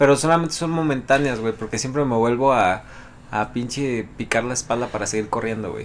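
A man speaks fairly quickly at a medium pitch, with ordinary pitch variation. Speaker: podcast co-host. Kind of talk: casual chat.

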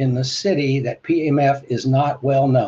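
Somewhat breathy man's voice. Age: 70s. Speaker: livestream host answering questions about PEMF devices. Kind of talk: live-streamed Q&A with phone callers. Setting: livestream, calls taken by phone.

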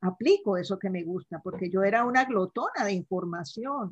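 A woman speaks at a fairly slow pace in a somewhat breathy voice, the sound dry and close with no echo. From Colombia, Cali. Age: 70s. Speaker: life mentor. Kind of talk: casual interview.

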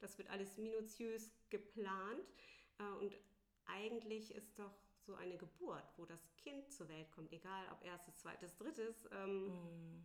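A woman's medium-pitched voice shows ordinary pitch variation as she talks at a very slow pace. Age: 40s. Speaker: doula. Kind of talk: interview. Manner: hesitant, many filler sounds.

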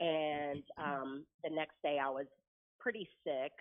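A woman's very deep, low voice with an American accent and fairly even intonation. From Oklahoma. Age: 40s. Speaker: real estate broker. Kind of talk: interview testimony.

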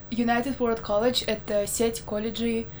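Audible room echo hangs around the words of a woman speaking. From Belarus, Minsk. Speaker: university student. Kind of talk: casual chat. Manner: hesitant, many fillers.

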